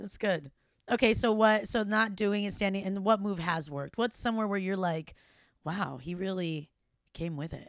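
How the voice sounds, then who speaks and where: Speaking at a moderate pace, a woman with a medium-pitched voice shows ordinary pitch variation on a very clean recording with a silent background. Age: 30s. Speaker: podcast host. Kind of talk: casual interview chat.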